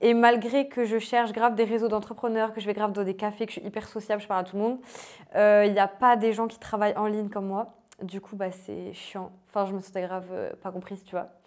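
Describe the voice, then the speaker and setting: A woman with a fairly high pitch speaks at a fairly quick pace in a monotone, flat intonation, with big swings in loudness. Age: 20s. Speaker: life coach and author. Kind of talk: casual interview. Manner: casual, hesitant with fillers.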